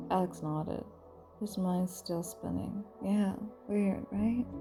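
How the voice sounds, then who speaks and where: A woman's calm, fairly slow speech with music in the background. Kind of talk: bedtime story reading. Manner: calm, immersive, sometimes whispering.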